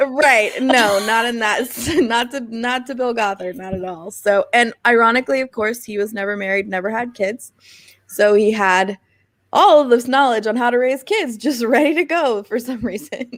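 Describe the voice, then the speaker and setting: With an ordinary speaking voice, this woman talks fairly high in pitch, her pitch shifting in a usual way, at a moderate speed. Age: 30s. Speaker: podcast guest, former cult member. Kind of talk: casual interview.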